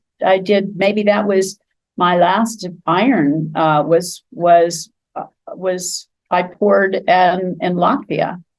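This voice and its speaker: The speaker has an American accent and fairly even intonation. The pace is very slow. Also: woman, medium pitch for a woman. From Florida. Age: 60s. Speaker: sculptor. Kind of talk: interview. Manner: halting.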